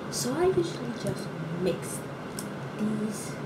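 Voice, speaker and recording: A woman is speaking. Loud noise fills the background. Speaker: beauty vlogger. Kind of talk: casual vlog chat. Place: bathroom. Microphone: phone near.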